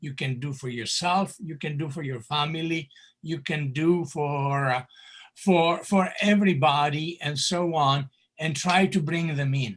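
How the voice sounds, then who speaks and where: Set against a quiet background, a speaker with a Greek accent talks at a fairly slow pace with ordinary pitch variation. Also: man. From Greece. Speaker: candidate for society president, professor. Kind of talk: town hall Q&A answer. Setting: video call. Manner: animated.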